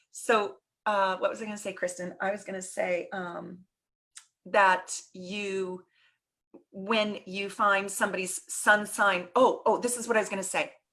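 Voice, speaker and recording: A woman's bright, sharp tone at a fairly slow pace, monotone and flat in intonation, with big swings in loudness. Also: medium pitch for a woman. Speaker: astrologer. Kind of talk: casual interview chat.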